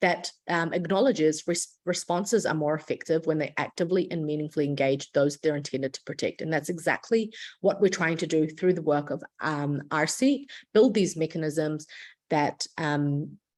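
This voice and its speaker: A woman speaks with a New Zealand accent at a very deep, low pitch and ordinary pitch variation. Her moderate pace comes through on a very clean recording with a silent background. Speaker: international lawyer and refugee advocate. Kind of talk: lecture. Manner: frequent filler words and self-corrections.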